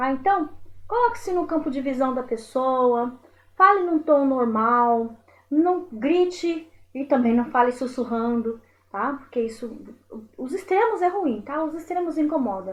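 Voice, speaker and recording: Pitched high, a woman speaks at a fairly slow pace with lively intonation. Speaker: teacher. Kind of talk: lecture. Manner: animated.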